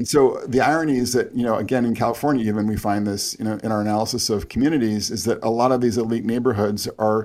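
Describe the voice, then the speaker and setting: A man with an American accent speaks in an unremarkable speaking voice at medium pitch. The recording is very clean, with a silent background. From US Northeast, Connecticut. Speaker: sociology professor and author. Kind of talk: interview.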